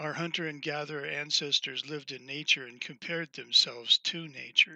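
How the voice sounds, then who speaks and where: A man talks at a moderate pace with an American accent. The sound is dry and close with no echo, against a quiet background. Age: 60s. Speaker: author reading his own text. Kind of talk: reading aloud.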